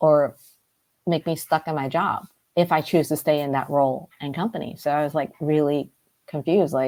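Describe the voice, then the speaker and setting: A woman with a Cantonese accent speaks at a moderate pace with fairly even intonation. Her pitch is very deep and low, and her tone is dark and mellow. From US, Brooklyn, New York. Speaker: life coach. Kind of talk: interview conversation.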